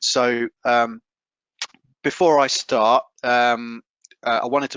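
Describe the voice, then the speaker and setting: With a British accent, a man speaks in fairly even intonation. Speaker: food safety technology specialist. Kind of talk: webinar presentation. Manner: halting, many fillers and repetitions.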